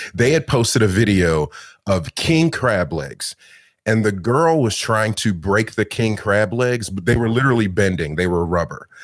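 Lively in intonation and moderate in pace, a man speaks in a normal speaking voice with a fairly low pitch on a very clean recording with a silent background. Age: 30s. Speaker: food content creator and meal prep business owner. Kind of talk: casual interview chat.

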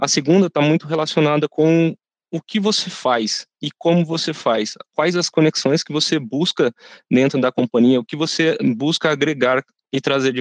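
At a moderate pace, a man talks in a normal speaking voice with a fairly high pitch over a quiet background. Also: dry, close sound with no echo. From Brazil, São José dos Campos (São Paulo state). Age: 30s. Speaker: intern in career transition. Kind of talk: corporate podcast interview.

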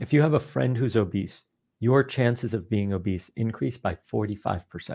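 A man's somewhat breathy, dark, mellow voice at medium pitch, with lively intonation at a moderate pace. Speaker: behavioral scientist and author. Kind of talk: casual interview.

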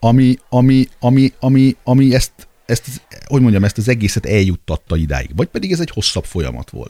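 A man with a dark, mellow tone talks fairly quickly, the sound dry and close with no echo. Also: medium pitch for a man, lively intonation. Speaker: sports federation president. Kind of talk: casual interview. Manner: halting, repeats words.

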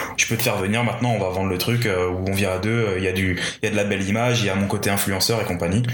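A man's fairly low voice, monotone and flat, at a very fast pace amid noticeable background noise. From Paris region, France. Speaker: freelance videographer. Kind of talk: casual interview chat.

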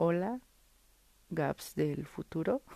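Set against a quiet background, this dark, mellow voice speaks with a Mexico City accent. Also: woman. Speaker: podcaster, digital agency owner. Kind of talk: solo monologue, personal diary-style podcast. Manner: unscripted, casual.

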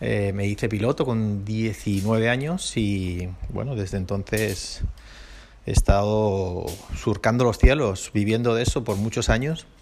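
Pitch varies in an ordinary way as the words come at a very slow pace. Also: man, fairly low pitch for a man. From Basque Country, Spain. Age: 40s. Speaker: podcast host, airline pilot. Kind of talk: casual solo podcast monologue. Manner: halting, many repetitions and fillers.

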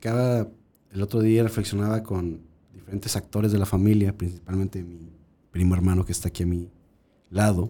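With a dark, mellow tone and fairly low pitch, a man speaks at a moderate pace with fairly even intonation and long, frequent pauses. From central Mexico, Guanajuato. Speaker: restaurant consultant and food researcher. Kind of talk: casual chat.

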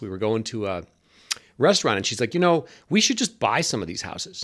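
A man with a Great Lakes accent is heard on a very clean recording with a silent background. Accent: Great Lakes American. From US Midwest (Cleveland, Ohio). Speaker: businessman recounting criminal case. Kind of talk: interview testimony.

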